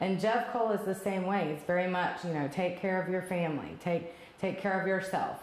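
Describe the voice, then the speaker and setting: Room echo is audible in this clip. A woman talks at a fairly quick pace. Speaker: property operations director. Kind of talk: interview. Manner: fast. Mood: warm, appreciative. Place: office. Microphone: lapel.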